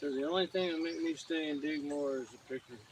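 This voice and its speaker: Mumbling at a fairly quick pace, a man with an American accent speaks at a fairly high pitch with ordinary pitch variation. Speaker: gold prospector. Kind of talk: live stream commentary. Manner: mumbling to himself.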